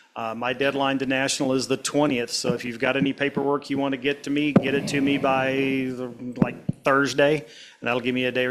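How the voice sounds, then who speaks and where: A man speaks fairly quickly at a medium pitch. His intonation is flat and monotone, with noticeable background noise. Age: 70s. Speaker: model railroad club achievement program coordinator. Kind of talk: club meeting announcements. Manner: casual, halting with many fillers.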